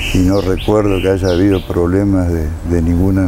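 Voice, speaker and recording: The man's pitch is very deep and low, his intonation monotone and flat, and his pace moderate. Audible room echo and noticeable background noise surround his voice. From Argentina, Federación, Entre Ríos. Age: 70s. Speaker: interviewee, local resident. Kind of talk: interview testimony. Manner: hesitant, many fillers.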